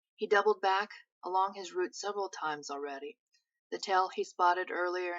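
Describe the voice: Plain reading aloud with ordinary pitch variation sits over a quiet background.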